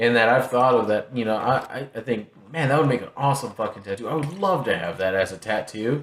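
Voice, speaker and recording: A man speaks in an American accent with lively intonation, noticeable background noise behind him. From Texas. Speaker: podcast host. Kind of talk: casual chat.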